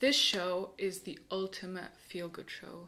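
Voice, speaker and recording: A woman at a fairly slow pace. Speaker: YouTuber. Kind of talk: casual vlog monologue. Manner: animated. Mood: enthusiastic, warm. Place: home room.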